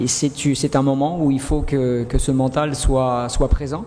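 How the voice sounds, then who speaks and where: Against noticeable background noise, a man speaks at a very slow pace with very even loudness. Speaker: football coach. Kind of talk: press conference. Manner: halting, many fillers and repetitions.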